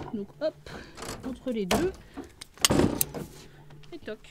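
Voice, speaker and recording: It's a woman talking. Behind her there's noticeable background noise. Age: 20s. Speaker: dairy farmer. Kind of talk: interview answer.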